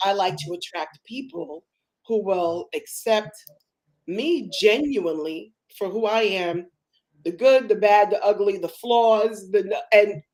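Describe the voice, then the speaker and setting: A woman speaks at medium pitch with an animated tone and ordinary pitch variation. Her pace is fairly slow. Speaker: live stream host, business coach. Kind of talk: casual interview chat. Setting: live stream. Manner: emotional, animated.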